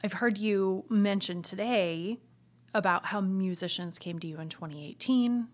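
In a very clean recording with a silent background, a woman with a normal speaking voice and an American accent talks at a moderate pace and medium pitch. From US Midwest, Iowa. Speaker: music institute director. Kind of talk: interview.

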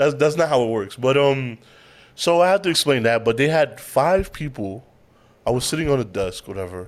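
At a medium pitch, a man speaks with lively intonation. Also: moderate pace. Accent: New York. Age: 30s. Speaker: podcast host. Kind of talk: casual chat.

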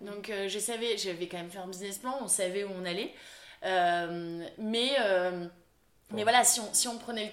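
A woman speaks at medium pitch and a moderate pace, with ordinary pitch variation and long, frequent pauses. Her loudness swings widely, and audible room echo fills the recording. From France, Lille. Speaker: fashion brand founder and designer. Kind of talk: interview. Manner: bubbly, lively.

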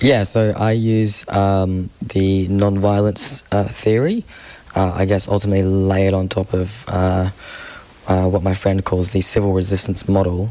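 A man with an Australian accent and a fairly low pitch, at a fairly slow pace, with monotone, flat intonation and very even loudness amid noticeable background noise. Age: 20s. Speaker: climate activist. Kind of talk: interview.

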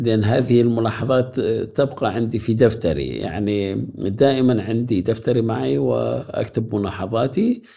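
A man's dark, mellow voice with vocal fry, medium pitch, ordinary pitch variation and a fairly slow pace. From Iraq, Mosul. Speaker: graphic designer and professor. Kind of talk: interview.

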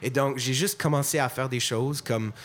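Average-speed speech from a man with normal pitch movement. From Montreal, anglophone. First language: English (speaking French). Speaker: musician. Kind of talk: panel discussion.

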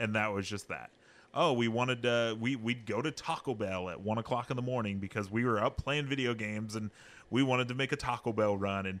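Against a quiet background, a man with an ordinary speaking voice talks at a moderate pace and medium pitch, with ordinary pitch variation. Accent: American. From California, Central Valley (Hanford). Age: 20s. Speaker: foster parent and video game worker. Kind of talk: casual interview chat. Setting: studio.

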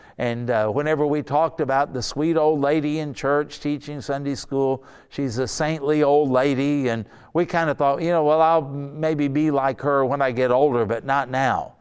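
Against a quiet background, a man with an ordinary speaking voice talks at a moderate pace and a fairly high pitch, using ordinary pitch variation. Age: 60s. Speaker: pastor. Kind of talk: sermon. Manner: casual.

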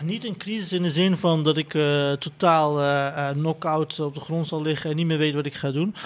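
In an ordinary speaking voice, a man talks at a fairly high pitch with fairly even intonation. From Netherlands, son of migrant worker. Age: 30s. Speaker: writer and columnist. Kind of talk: panel discussion. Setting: live event at a festival.

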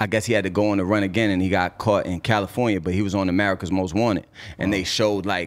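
A man speaks with a Boston accent. His pitch sits fairly low. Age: 30s. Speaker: rapper. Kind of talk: casual interview. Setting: studio. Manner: animated.

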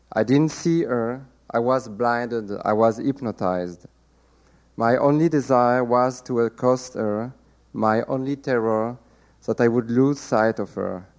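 A man with a French accent talks at a fairly slow pace and a medium pitch, his intonation fairly even against a quiet background. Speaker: novelist. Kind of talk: reading aloud. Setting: stage with audience.

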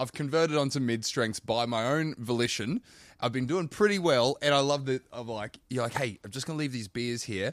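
The sound is dry and close with no echo, on a very clean recording with a silent background. The speech is fairly quick, with ordinary pitch variation. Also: man, medium pitch for a man. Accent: Australian. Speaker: podcast co-host. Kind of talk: casual podcast chat.

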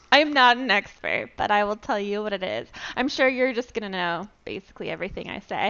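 Vocal fry marks a woman's speech as she talks at a fairly quick pace. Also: medium pitch for a woman, ordinary pitch variation. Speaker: podcast co-host. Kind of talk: casual chat.

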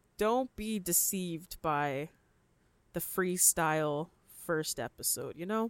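The sound is dry and close with no echo as a woman with a fairly low pitch and lively intonation speaks very slowly, leaving long, frequent pauses. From Canada, Ontario (London). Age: 20s. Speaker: podcast host. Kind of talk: casual monologue. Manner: upbeat.

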